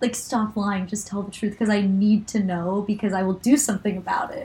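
A somewhat breathy woman's voice at a medium pitch. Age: 20s. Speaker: medical student and podcast co-host. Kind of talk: casual chat.

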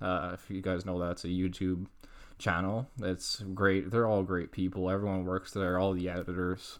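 With a Canadian accent, a man speaks in a very deep, low voice and a flat, monotone intonation. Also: very clean recording, silent background. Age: 20s. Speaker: podcast host. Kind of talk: casual monologue. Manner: halting, many fillers and restarts.

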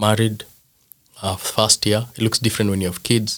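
A man with a Kenyan accent speaks at a fairly quick pace in a fairly low pitch. His intonation is flat and monotone, and the sound is dry and close with no echo. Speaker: father and former youth pastor. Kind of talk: casual interview chat.

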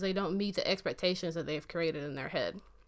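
A woman with an American accent speaks fairly quickly in a plain, everyday voice with ordinary pitch variation. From US South. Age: 20s. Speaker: podcast host. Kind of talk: casual chat. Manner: casual, opinionated.

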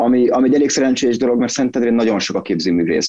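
A man's very fast speech in a dark, mellow tone, with a dry, close sound and no echo. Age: 30s. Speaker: graphic designer and visual artist. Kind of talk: casual interview. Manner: halting, many repetitions.

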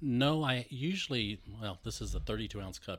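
On a very clean recording with a silent background, a man speaks with an American accent. His intonation is lively, with vocal fry. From US Texas. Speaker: sound engineer. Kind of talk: casual interview chat.

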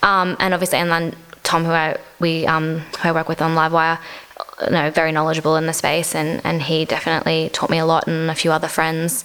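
Over noticeable background noise, a woman with an Australian accent speaks at a fairly quick pace, with a fairly low pitch and fairly even intonation. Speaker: gig photographer. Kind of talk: casual interview. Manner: casual, uses many fillers.

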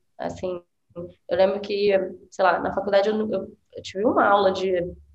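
A woman speaks at a medium pitch. Room echo is audible around her voice. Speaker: design teacher. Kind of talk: casual chat.

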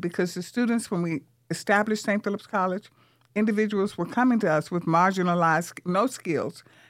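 Over a silent background in a very clean recording, a woman with an American accent uses a plain, everyday voice at a fairly quick pace, medium pitch and ordinary pitch variation. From US South, Vicksburg, Mississippi. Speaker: community college president. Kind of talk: radio interview. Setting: radio studio.

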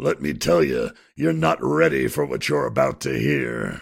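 A raspy male voice, very deep and low, with fairly even intonation. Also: moderate pace. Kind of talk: comic radio drama. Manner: grumpy, sarcastic, blunt.

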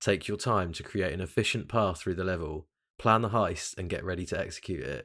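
The man's pitch is very deep and low. The recording is very clean, with a silent background. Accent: British. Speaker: podcast host. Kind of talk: casual chat. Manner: casual, relaxed.

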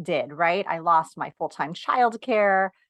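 Over a quiet background with a dry, close sound and no echo, a woman with an American accent speaks at a fairly slow pace and medium pitch in a bright, sharp tone. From New York. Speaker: productivity coach for moms. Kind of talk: interview.

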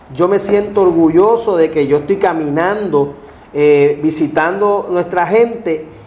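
Through noticeable background noise, a man with a high pitch talks at a fairly slow pace and very even loudness. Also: ordinary pitch variation. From Puerto Rico, Ponce. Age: 50s. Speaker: political candidate. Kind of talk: interview.

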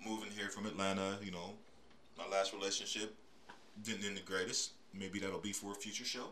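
Amid noticeable background noise and audible room echo, a man with a fairly low pitch and an American accent talks at a fairly quick pace in a monotone, flat intonation with long, frequent pauses. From US, Pittsburgh, Pennsylvania. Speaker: podcast host. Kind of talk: casual solo monologue.

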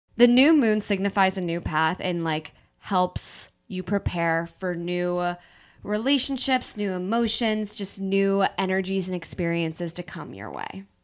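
This woman talks at a fairly slow pace at a medium pitch, with ordinary pitch variation and big swings in loudness. The recording is very clean, with a silent background. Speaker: podcast co-host. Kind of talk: casual chat between friends. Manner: animated, chatty.

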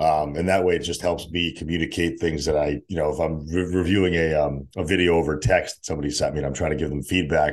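A man with an American accent speaks at a fairly quick pace in a very deep, low pitch with vocal fry. His intonation is fairly even, and the background is quiet. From US Northeast (Connecticut), born in Russia. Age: 30s. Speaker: fitness coach and event organizer. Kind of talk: casual chat.

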